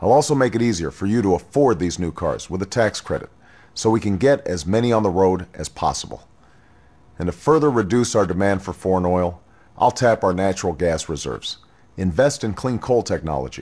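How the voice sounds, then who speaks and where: This man has an ordinary speaking voice, fairly low in pitch. He talks at a fairly quick pace with lively intonation. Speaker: presidential candidate. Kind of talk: political campaign address.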